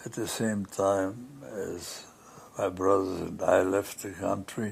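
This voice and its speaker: At a very slow pace, a man speaks at a fairly low pitch with ordinary pitch variation. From Austria. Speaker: pianist; Holocaust survivor. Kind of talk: interview answer.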